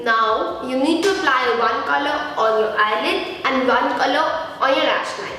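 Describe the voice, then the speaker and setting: A woman projects her high voice loudly over noticeable background noise, with audible room echo. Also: lively intonation, moderate pace. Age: 20s. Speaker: beauty vlogger. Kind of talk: tutorial.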